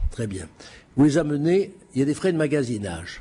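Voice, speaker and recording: A man speaks at a fairly high pitch. His voice is somewhat breathy. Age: 70s. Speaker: auctioneer. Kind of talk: lecture. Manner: halting.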